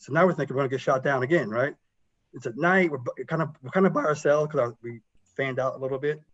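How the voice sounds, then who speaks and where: Mumbling in an American accent. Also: man. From South Carolina. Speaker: military pilot and engineer. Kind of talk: career talk to students. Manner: fast when excited; mumbles.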